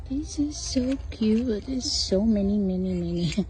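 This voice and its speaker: A woman's voice with audible room echo. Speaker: shopping vlogger. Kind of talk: casual store walkthrough vlog. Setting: inside a craft store. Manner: soft-spoken, whispered.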